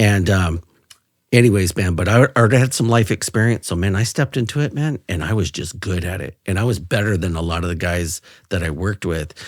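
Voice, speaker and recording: In a very clean recording with a silent background and a dry, close sound free of echo, a man with an American accent speaks at a fairly quick pace in a very deep, low pitch with ordinary pitch variation. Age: 50s. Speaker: retired police officer. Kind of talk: interview. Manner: animated.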